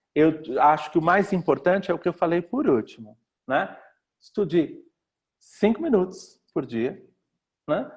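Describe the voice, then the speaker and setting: A man talks at a fairly slow pace in a high pitch. His intonation is lively. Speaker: language teacher. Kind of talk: online talk with Q&A. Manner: hesitant fillers.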